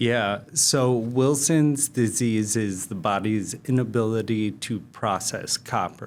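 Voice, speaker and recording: A man speaks at a very slow pace with hardly any pauses. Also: medium pitch for a man, ordinary pitch variation. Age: 40s. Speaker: real estate investor. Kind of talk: interview.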